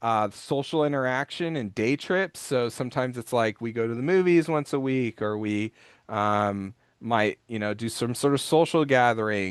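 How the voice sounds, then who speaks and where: Against a quiet background, a man with an American accent speaks at medium pitch with ordinary pitch variation, the sound dry and close with no echo. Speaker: special education expert and parent. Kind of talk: presentation webinar. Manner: fast.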